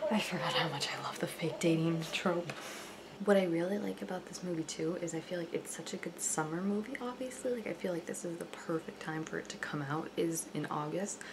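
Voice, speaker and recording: A woman speaks quietly at a fairly low pitch and a fairly quick pace with ordinary pitch variation. Noticeable background noise is present. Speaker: book reviewer. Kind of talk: casual reaction talk to camera. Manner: quiet, hushed.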